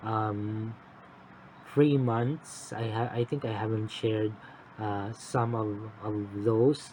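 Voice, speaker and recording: A man speaks very slowly and quietly at a medium pitch, his intonation flat and monotone. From Philippines. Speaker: cross-stitch vlogger. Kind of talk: casual vlog update. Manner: halting. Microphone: phone mic.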